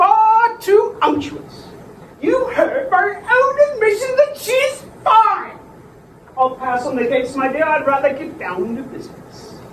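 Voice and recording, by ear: A woman uses a put-on character voice at an extremely high pitch with big pitch swings. She talks at a fairly slow pace amid audible room echo.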